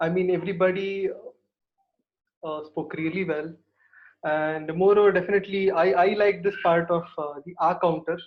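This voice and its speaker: A man with an Indian accent, high-pitched and flat in intonation, with long, frequent pauses. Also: moderate pace. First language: Kannada. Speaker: guest at speaking club. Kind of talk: impromptu feedback at online club meeting. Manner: halting, many fillers.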